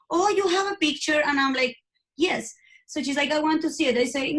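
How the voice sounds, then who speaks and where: In a Spanish accent, a woman speaks with a high pitch. Her pitch variation is ordinary. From Colombia. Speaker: IVF coach. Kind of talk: interview. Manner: halting.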